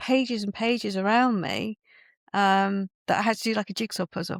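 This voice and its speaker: In a very clean recording with a silent background, a woman talks at a medium pitch in a flat monotone, the sound dry and close with no echo. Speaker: book publisher and writing coach. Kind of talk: podcast interview.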